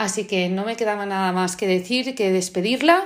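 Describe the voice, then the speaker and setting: A woman speaks at medium pitch. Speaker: podcast host. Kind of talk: interview, casual conversation.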